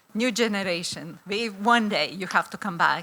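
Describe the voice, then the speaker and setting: A woman with a Lithuanian accent speaks at a moderate pace. Her tone is bright and sharp. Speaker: law professor. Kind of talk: conference presentation. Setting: conference hall with audience. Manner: hesitant, many fillers.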